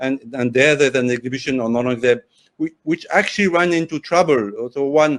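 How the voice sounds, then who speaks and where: With a French accent, a man speaks at a fairly quick pace and a fairly high pitch with ordinary pitch variation, in a dry, close sound with no echo and a quiet background. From France, Paris. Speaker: journalist and author. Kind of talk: interview discussion. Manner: halting, with self-corrections.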